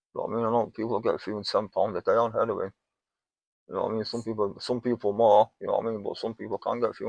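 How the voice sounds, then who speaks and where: Very fast speech from a man comes through with a dry, close sound and no echo. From northern England. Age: 50s. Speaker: homeless man, recovering heroin user. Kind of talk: interview. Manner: repetitive, halting.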